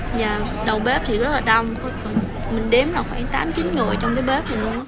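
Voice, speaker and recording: A woman talks at a fairly slow pace. Crowd noise can be heard behind her. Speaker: food vlogger. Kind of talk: casual vlog chat. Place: cafe. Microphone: phone near.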